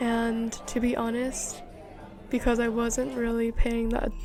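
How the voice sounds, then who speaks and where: Music plays in the background. Over it, a woman speaks fairly slowly at a fairly high pitch. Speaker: vlogger. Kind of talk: casual vlog narration. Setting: at home.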